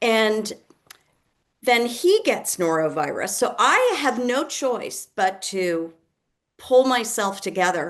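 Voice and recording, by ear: Her pitch fairly high, a woman speaks with big pitch swings.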